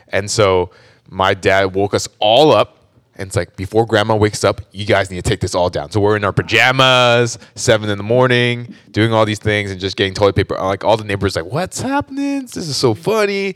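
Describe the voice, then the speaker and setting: A man with an American accent and a normal speaking voice talks at a fairly quick pace, fairly low in pitch with ordinary variation, in a dry, close sound with no echo. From US West Coast, Orange County, California. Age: 30s. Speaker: church member sharing testimony. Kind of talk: testimony. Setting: studio.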